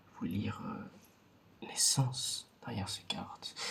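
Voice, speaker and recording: This is a man speaking. He goes at a very slow pace. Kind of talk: ASMR roleplay card reading, soft close-up talk to the viewer. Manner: soft-spoken, slow.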